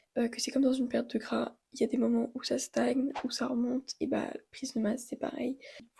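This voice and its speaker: Her voice high, dark and mellow, a woman speaks at a fairly quick pace with a flat, monotone intonation. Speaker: fitness vlogger. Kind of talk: vlog monologue. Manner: casual, informal.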